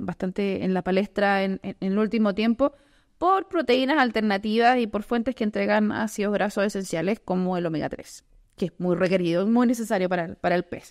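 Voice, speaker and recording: Over a quiet background, a woman speaks at a moderate pace, her fairly high pitch moving with ordinary variation. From southern Chile. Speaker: podcast host, journalist. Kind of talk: interview. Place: studio. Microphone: studio mic.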